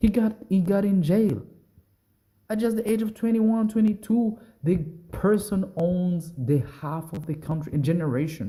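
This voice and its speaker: A man talks at a high pitch. His tone is dark and mellow. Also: ordinary pitch variation, moderate pace. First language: not English. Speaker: music commentary YouTuber. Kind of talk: casual reaction commentary. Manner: rambling, halting with restarts.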